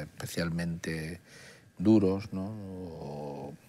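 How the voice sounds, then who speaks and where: Very deep and low, the pitch of this man's voice stands out. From Andalusia, Málaga province (Archidona); Andalusia. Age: 60s. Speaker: oncologist; interview guest. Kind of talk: interview. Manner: halting. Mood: calm, reflective. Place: studio. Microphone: lapel.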